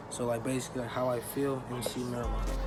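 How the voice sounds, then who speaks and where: A man talks very rapidly amid noticeable background noise, with room echo clearly audible. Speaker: youtuber. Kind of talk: casual vlog monologue. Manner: halting, many fillers.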